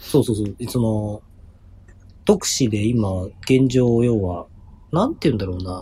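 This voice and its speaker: A man speaks fairly slowly, with long, frequent pauses and a medium pitch. His tone is dark, mellow and somewhat breathy, with ordinary pitch variation. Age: 30s. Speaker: basketball podcast co-host. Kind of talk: casual chat.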